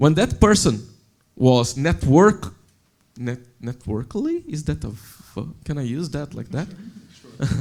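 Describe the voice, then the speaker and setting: The voice, somewhat breathy and with a non-native accent, moves at a very slow pace with very wide pitch swings and big swings in loudness. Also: man, fairly high pitch for a man. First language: not English. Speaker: software developer, panelist. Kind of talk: panel discussion.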